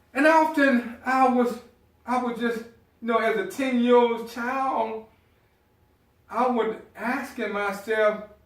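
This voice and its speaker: A man with an extremely high pitch speaks at a very slow pace, his intonation fairly even. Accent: Southern US. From US South, South Carolina. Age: 50s. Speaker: motivational speaker. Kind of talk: motivational speech.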